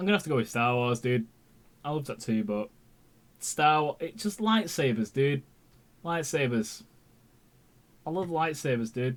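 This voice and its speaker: Long, frequent pauses break up the speech of a man with an English accent, whose fairly high voice has lively intonation. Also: moderate pace. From England. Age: 20s. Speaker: YouTube TV reviewer. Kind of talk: live stream chat. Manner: halting.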